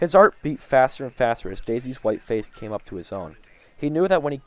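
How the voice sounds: In a natural reading voice, the delivery carries lively intonation.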